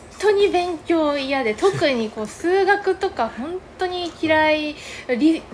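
Against noticeable background noise, a woman speaks at a very slow pace. Her extremely high voice carries lively intonation. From Yamagata, Japan (rural Kaneyama). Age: 20s. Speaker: podcast co-host, cafe owner. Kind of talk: casual chat.

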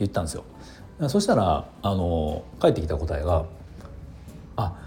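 Lively intonation marks this man's relaxed tone at a moderate pace, with noticeable background noise. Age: 40s. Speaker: hairdresser and podcaster. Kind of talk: casual solo talk. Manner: relaxed with many fillers.

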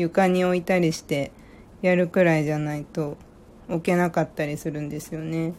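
A woman's fairly low voice at a moderate pace, relaxed in tone. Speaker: podcast host. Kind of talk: casual chat.

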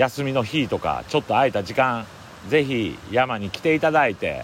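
With noticeable background noise behind him, a man speaks at a medium pitch with lively intonation. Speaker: forest owner and podcaster. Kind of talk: solo outdoor audio diary. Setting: outdoors in a mountain forest.

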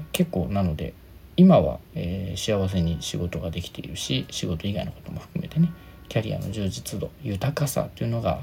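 Relaxed in tone, a man with a fairly low pitch moves through very wide pitch swings at a moderate pace. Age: 30s. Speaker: career consultant and HR worker. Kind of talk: solo podcast talk. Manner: relaxed, casual.

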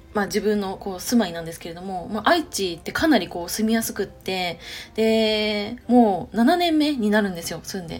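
At a moderate pace, a woman of medium pitch speaks with lively intonation. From Chiba, Japan. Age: 30s. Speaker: podcaster and web writer, civil engineering worker. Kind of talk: casual solo podcast monologue. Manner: hesitant, many fillers.

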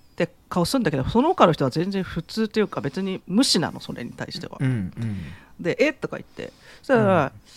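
This man's voice is high and swings very widely in pitch. He talks at a fairly quick pace, and the sound is dry and close with no echo. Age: 40s. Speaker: podcast co-host. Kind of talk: casual chat.

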